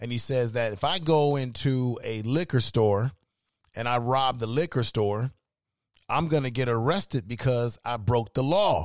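Speaking at a fairly slow pace, a man has an ordinary speaking voice with medium pitch and ordinary pitch variation. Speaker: podcast host. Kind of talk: heated debate. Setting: live stream with chat room.

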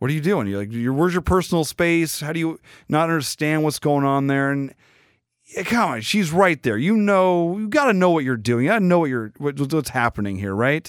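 A man with a plain, everyday voice speaks fairly high and at a fairly quick pace, his intonation lively, on a very clean recording with a silent background. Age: 40s. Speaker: podcast host. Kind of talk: casual commentary.

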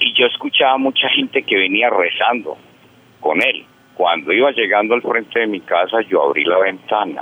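At a moderate pace, a man speaks with very even loudness. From Antioquia, Colombia. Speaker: caller. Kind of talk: personal ghost story on phone. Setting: phone call.

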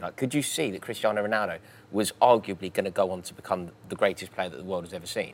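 Speaking very fast, a man talks with an English accent. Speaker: podcast host. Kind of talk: casual interview.

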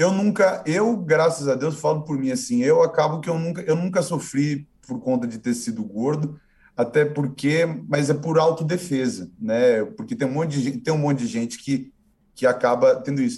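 Lively in intonation, a man speaks at a fairly high pitch with a dark, mellow, somewhat breathy tone. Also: moderate pace. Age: 20s. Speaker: online video presenter and actor. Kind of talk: casual interview. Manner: halting, many repetitions.

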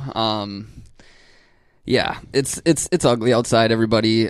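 A man with a normal speaking voice talks at a fairly slow pace, his fairly low pitch held fairly even, in a very clean recording with a silent background. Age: 20s. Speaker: sports podcast co-host. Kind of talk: casual chat.

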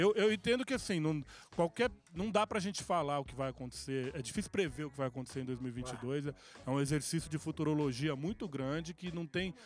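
Here a man has an unremarkable speaking voice with a fairly high pitch for a man. He talks at a fairly quick pace with lively intonation. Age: 40s. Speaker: music producer. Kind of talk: casual chat.

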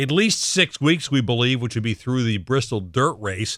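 Talking at a fairly quick pace, a man uses medium pitch, lively intonation and a bright, sharp tone. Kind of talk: radio show hosting. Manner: upbeat, friendly, laughs easily.

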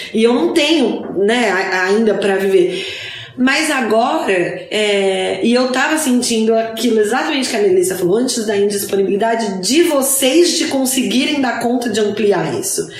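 Lively intonation marks a woman's fairly high-pitched voice at a moderate pace, with noticeable background noise. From Brazil, São Paulo. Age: 30s. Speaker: podcast co-host. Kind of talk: casual chat. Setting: in person, recorded live together.

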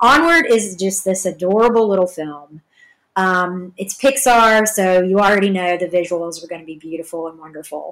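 In a Southern US accent, the speaker moves at a moderate pace with ordinary pitch variation and big swings in loudness. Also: woman, medium pitch for a woman. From Georgia, US South. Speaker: podcast host. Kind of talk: casual solo commentary. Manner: halting, many fillers.

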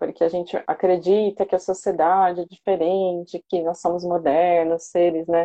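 A woman talks at a moderate pace with hardly any pauses. Her fairly low voice stays monotone and flat. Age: 40s. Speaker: pedagogue turned therapist and coach. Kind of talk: interview testimony.

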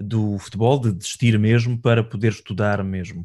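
A man with a plain, everyday voice speaks at a moderate pace. His intonation stays fairly even over a quiet background. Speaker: podcast host. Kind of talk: interview.

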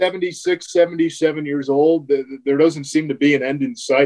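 A man with an American accent speaks at a fairly slow pace in a high voice. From North Jersey (Bloomfield, New Jersey). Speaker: sports play-by-play broadcaster. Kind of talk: casual interview chat.

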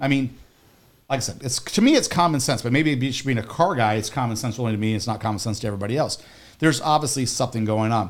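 A man talks very fast, with ordinary pitch variation. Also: medium pitch for a man. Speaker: car radio host. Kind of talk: casual radio show chat. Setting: radio studio.

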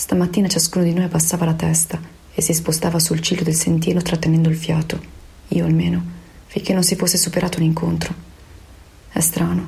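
A woman speaks at a fairly quick pace with very even loudness, leaving long, frequent pauses. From Veneto, Italy. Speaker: opera director. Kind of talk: personal testimony. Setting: home in quarantine.

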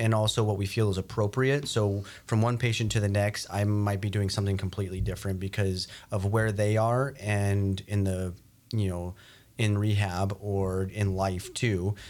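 In a very clean recording with a silent background, a man speaks at a moderate pace. His fairly low voice holds a monotone, flat intonation. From New Mexico, near Albuquerque. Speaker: physical therapist, clinic owner. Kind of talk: interview. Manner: hesitant, many fillers.

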